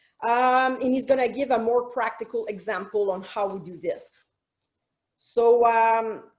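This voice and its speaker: Pitched high, a woman talks with ordinary pitch variation, and room echo is audible. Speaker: military officer. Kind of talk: conference presentation. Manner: fast; hesitant, many fillers.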